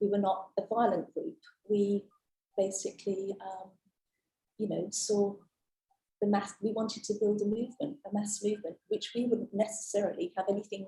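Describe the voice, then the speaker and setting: A dark, mellow, somewhat breathy tone at a moderate pace with fairly even intonation. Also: woman, medium pitch for a woman. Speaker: witness at a public inquiry. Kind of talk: witness testimony. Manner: hesitant, many fillers. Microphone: too quiet, far from mic.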